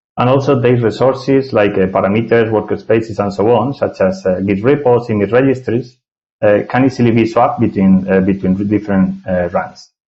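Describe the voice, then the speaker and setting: A man speaks with a Spanish accent at a medium pitch and a fairly quick pace. His pitch varies in an ordinary way, and his loudness stays very even. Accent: non-native English, Spanish. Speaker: software architect, tech speaker. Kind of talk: technical presentation. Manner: hesitant, many filler sounds.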